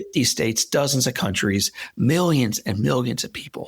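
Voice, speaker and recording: Speaking with an American accent at a moderate pace, a man swings his pitch very widely, with vocal fry in his voice. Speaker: motivational speaker. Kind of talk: interview. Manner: halting; animated.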